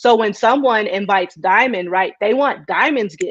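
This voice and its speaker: The speaker has a slight country accent and a moderate pace. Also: woman, dry, close sound with no echo. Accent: slight country twang. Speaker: preacher. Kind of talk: live video interview.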